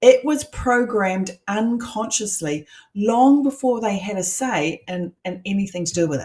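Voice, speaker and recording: A woman speaks at a medium pitch with lively intonation. Her tone is dark and mellow, and somewhat breathy. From New Zealand. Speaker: coach. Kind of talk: online masterclass. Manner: conversational.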